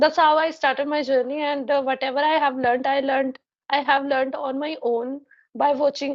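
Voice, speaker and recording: High-pitched and with fairly even intonation, a woman speaks with a Punjabi accent. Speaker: English learner. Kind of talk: casual conversation practice. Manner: halting, many fillers.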